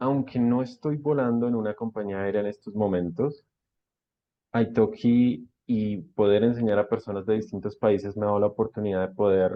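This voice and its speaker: With an unremarkable speaking voice, a man speaks at a moderate pace, fairly low in pitch and with fairly even intonation. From Colombia. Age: 30s. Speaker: online language teacher. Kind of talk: interview.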